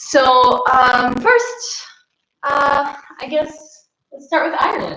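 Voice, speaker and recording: With an American accent, the voice is raised and projected, with very wide pitch swings and big swings in loudness. It moves at a very slow pace, and audible room echo surrounds it. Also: woman, high pitch for a woman. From Texas. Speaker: English teacher. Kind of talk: casual chat. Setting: live stream.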